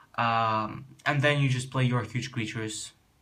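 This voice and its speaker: Fairly even intonation at a moderate pace, with a Russian accent and audible room echo. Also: man. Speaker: card game youtuber. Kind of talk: deck tech explanation. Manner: halting.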